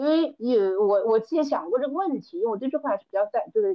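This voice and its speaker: With lively intonation, a woman talks fairly quickly in an unremarkable speaking voice. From Hunan, Changde area. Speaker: event planner. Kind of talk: casual chat.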